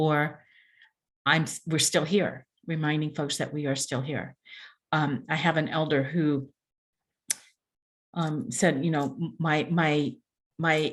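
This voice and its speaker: A woman with an American accent speaks very slowly in a very deep, low pitch, with ordinary pitch variation and long, frequent pauses. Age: 60s. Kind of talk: panel discussion. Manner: halting, with frequent repetitions.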